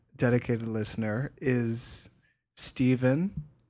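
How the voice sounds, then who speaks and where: With an American accent, a man speaks at a medium pitch. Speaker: podcast co-host. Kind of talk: casual banter chat. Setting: home recording with two microphones. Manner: animated, laughs often.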